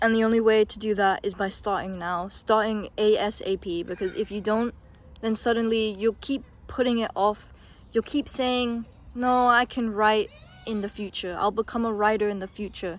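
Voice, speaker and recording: At a moderate pace, a woman speaks in a fairly high voice with fairly even intonation. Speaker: youtuber. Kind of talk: casual monologue. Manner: hesitant, filler words.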